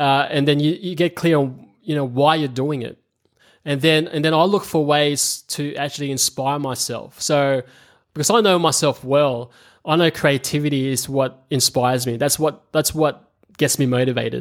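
Speaking with an Australian accent, a man uses a fairly high pitch and fairly even intonation at a moderate pace. The recording is very clean, with a silent background. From Australia, moved from the Philippines at about eight. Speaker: video marketing agency founder. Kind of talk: interview. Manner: hesitant, many fillers and repetitions.

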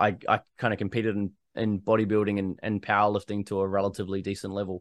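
A man with a New Zealand accent and a fairly low voice, fairly quick, in a quiet background with a dry, close sound and no echo. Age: 30s. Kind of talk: casual interview chat.

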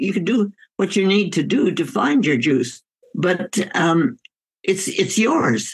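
Speaking at a very slow pace, a woman with a medium pitch and vocal fry moves through very wide pitch swings. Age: 100s. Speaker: physician and author. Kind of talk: interview.

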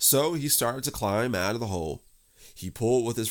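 The speaker uses a natural reading voice with lively intonation.

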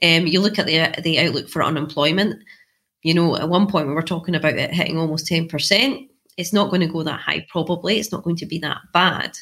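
Fairly quick speech in a Scottish accent, bright and sharp in tone. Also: woman, fairly low pitch for a woman, ordinary pitch variation. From central Scotland, Clackmannanshire. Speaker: economics research institute director. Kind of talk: interview.

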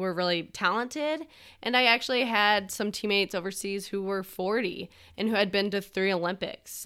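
In an ordinary speaking voice, a woman with an American accent talks at a medium pitch with ordinary pitch variation on a very clean recording with a silent background. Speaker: podcast co-host, former pro field hockey player. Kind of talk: casual interview, telling her story.

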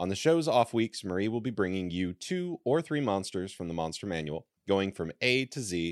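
A man speaks at a moderate pace with a very deep, low pitch and lively intonation. The sound is dry and close with no echo, over a quiet background. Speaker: podcast co-host. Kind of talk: scripted reading of updates. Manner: read from a script.

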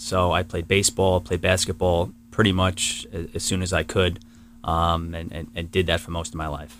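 Through vocal fry, a man with a very deep, low pitch talks at a moderate pace with fairly even intonation. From New York, Queens and Long Island. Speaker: tree service business owner. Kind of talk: interview. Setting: studio.

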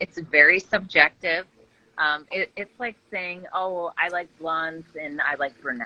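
A woman with an Upper Midwest accent, fairly low in pitch with ordinary pitch variation, at a fairly slow pace, in a dry, close sound with no echo. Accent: Upper Midwest (Minnesota). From Minnesota, Brainerd Lakes area. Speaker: real estate agent. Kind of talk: casual chat. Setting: video call.

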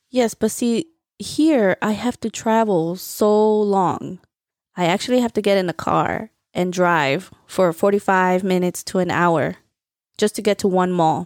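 In a New Jersey accent, a woman is heard on a very clean recording with a silent background and a dry, close sound with no echo. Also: medium pitch for a woman, ordinary pitch variation, fairly slow pace. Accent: New Jersey American English. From Central New Jersey, US. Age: 30s. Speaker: podcast host. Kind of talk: casual chat.

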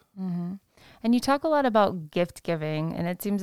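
A woman with a plain, everyday voice speaks at a moderate pace on a very clean recording with a silent background. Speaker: podcast host. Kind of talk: interview.

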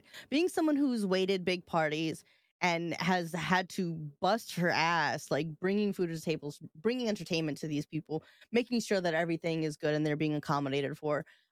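Her unremarkable speaking voice, fairly low for a woman with ordinary pitch variation, comes at a fairly quick pace with an American accent and a dry, close sound with no echo. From New York. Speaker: podcast co-host. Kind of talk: casual chat. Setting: live stream.

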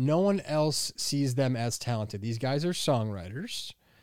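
This is an ordinary speaking voice with lively intonation. The sound is dry and close with no echo, in a very clean recording with a silent background. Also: man. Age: 30s. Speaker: podcast co-host, movie reviewer. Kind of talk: casual chat. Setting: studio in Hollywood.

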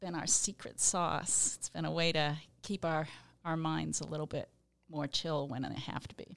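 A woman's very deep, low voice with vocal fry, big swings in loudness, and a fairly slow pace. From Rhode Island. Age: 60s. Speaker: environmental engineering consultant. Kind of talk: casual interview. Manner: hesitant, many fillers.

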